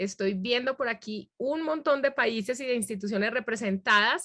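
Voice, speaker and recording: At a fairly high pitch, a woman talks at a moderate pace with ordinary pitch variation over a quiet background. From Medellín, Colombia. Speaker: academic integrity trainer, workshop presenter. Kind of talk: workshop presentation.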